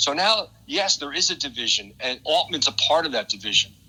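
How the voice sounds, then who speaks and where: This man's bright, sharp tone rides on very wide pitch swings. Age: 60s. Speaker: radio talk show co-host. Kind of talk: casual discussion. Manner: halting, many fillers and repetitions.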